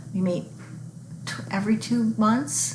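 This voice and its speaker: A woman's voice with ordinary pitch variation, amid noticeable background noise and audible room echo. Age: 60s. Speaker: book vlogger. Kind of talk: casual vlog monologue. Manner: halting.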